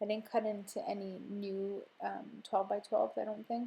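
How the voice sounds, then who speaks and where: A woman's fairly high, somewhat breathy voice with a dark, mellow tone, ordinary pitch variation and a fairly slow pace. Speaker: scrapbooking video creator. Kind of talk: voiceover tutorial narration. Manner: soft, whispery; casual with many fillers.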